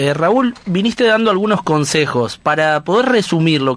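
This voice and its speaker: A man's pitch swings very widely while he talks at a fairly slow pace. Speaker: radio host. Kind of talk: radio show hosting.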